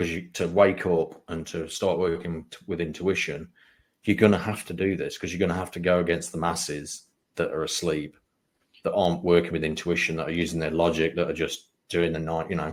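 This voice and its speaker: On a very clean recording with a silent background, a man with an English accent talks fairly quickly in a very deep, low pitch and a monotone, flat intonation. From England, Lincolnshire (East Midlands). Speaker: spiritual mentor and psychic medium. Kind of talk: interview conversation.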